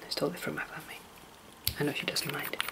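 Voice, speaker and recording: The speaker whispers in a relaxed tone. Background noise is noticeable. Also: woman. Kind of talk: ASMR soft-spoken ramble to camera. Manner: soft-spoken, relaxed, rambling.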